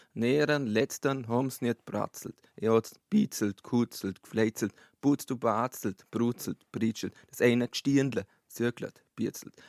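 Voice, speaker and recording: Man at medium pitch with a North Bavarian accent, fairly even intonation, a very slow pace and a dry, close sound with no echo. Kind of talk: humorous verse reading in dialect. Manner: steady rhythmic pace.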